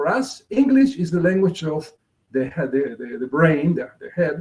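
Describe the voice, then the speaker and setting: A man with a Spanish accent speaks at a high pitch and a moderate pace. His pitch swings are very wide. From Argentina. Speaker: multicultural marketing consultant. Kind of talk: interview presentation.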